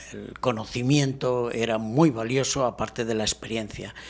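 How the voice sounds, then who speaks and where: Fairly even intonation in a Spanish accent. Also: man. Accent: Spanish (Spain). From Spain, Barcelona. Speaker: professor. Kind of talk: interview.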